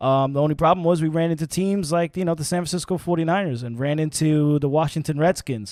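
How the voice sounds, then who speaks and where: A New York accent at a fairly quick pace, with ordinary pitch variation, a dry, close sound with no echo and a very clean recording with a silent background. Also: man. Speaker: sports podcast host. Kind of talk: casual chat. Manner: halting, many fillers and repeats; animated.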